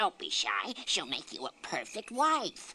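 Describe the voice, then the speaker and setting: A cartoonish character voice, fairly high in pitch, at a fairly slow pace. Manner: meek, grumbling.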